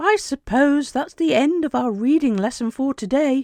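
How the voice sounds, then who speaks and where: The speaker uses a high-pitched put-on character voice. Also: moderate pace. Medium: read story.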